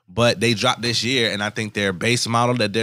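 Talking at a fairly quick pace, a man uses an American accent. His tone is bright and sharp, with vocal fry. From Oxon Hill, Maryland (DC area). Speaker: podcast co-host, investor. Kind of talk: casual chat.

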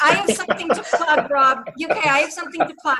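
A woman speaks in a raised, projected voice with a Boston accent. Her tone is bright and sharp. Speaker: RCM trainer and consultant. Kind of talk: panel discussion, live webinar Q&A. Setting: video call webinar.

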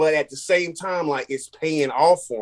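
At a moderate pace, a man with an American accent speaks in an ordinary speaking voice at a fairly high pitch. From North Carolina. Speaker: artist, muralist. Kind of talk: casual interview.

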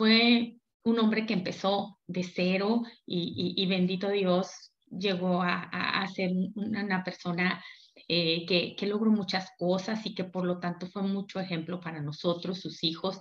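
Talking at a fairly slow pace, a woman with a plain, everyday voice holds a medium pitch and fairly even intonation. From Mexico, Durango. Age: 50s. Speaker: network marketing leader. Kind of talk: motivational seminar talk.

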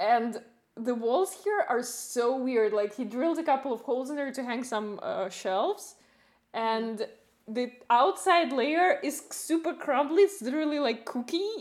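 A woman speaks with lively intonation. Her voice is high-pitched. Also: fairly slow pace. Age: young. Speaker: podcast host. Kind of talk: interview conversation.

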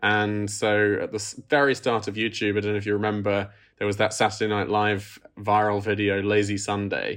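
With an English accent, a man talks at a fairly quick pace in a fairly low pitch and monotone, flat intonation. The background is quiet. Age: 30s. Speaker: film director. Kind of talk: interview.

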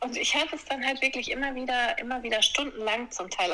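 Against noticeable background noise, a woman speaks at a high pitch and a moderate pace with ordinary pitch variation. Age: 40s. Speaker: yoga teacher. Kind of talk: interview storytelling.

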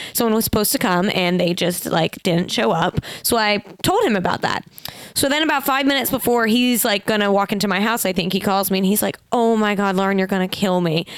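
Very fast speech comes in an animated tone with ordinary pitch variation and very even loudness. Noticeable background noise runs underneath. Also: woman, medium pitch for a woman. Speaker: podcast host. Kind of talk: casual chat. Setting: studio.

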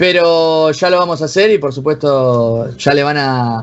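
This man has a normal speaking voice with a fairly high pitch. His pitch variation is ordinary. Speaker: esports club manager. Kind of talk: casual interview.

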